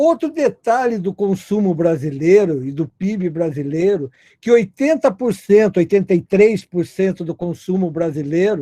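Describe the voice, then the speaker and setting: Dry and close with no echo, a man's high-pitched voice has a dark, mellow tone and lively intonation at a fairly slow pace. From Brazil, not the Northeast. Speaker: logistics business founder. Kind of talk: webinar panel talk.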